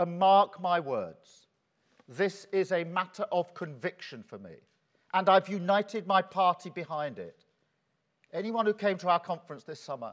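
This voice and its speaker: A high-pitched male voice with ordinary pitch variation, moderate pace and a quiet background. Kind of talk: keynote speech. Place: hall.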